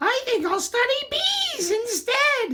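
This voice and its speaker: Putting on a squeaky character voice, a man speaks at a fairly slow pace with an extremely high pitch. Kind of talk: children's read-aloud. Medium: read story.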